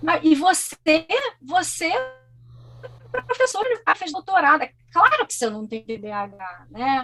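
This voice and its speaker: Raised and projected, the voice has a bright, sharp, animated tone, very wide pitch swings, big swings in loudness, a fairly slow pace, and long, frequent pauses. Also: woman, extremely high pitch for a woman. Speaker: guest speaking about living with ADHD. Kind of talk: interview conversation.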